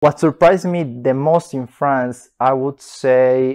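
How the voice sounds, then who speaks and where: A man with a Bolivian accent speaks at a very slow pace and medium pitch, with ordinary pitch variation and a dry, close sound with no echo against a quiet background. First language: Spanish. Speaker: master's student. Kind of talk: interview answers.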